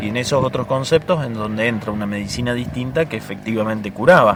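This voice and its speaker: Over noticeable background noise, a man speaks at a fairly quick pace in a medium pitch with ordinary pitch variation. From Córdoba hills, Argentina. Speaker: medicinal herbalist, Comechingón descendant. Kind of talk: interview answer. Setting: outdoors, windy.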